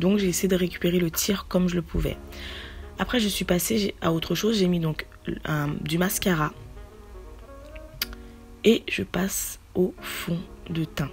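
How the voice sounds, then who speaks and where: Fairly even intonation broken by long, frequent pauses, with music in the background. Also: woman, fairly low pitch for a woman, fairly slow pace. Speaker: beauty vlogger. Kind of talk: casual talk to camera.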